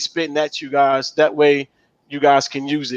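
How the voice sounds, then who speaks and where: A man speaks with a fairly high pitch in a monotone, flat intonation. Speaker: live show co-host. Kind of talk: casual live-stream chat. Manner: fast.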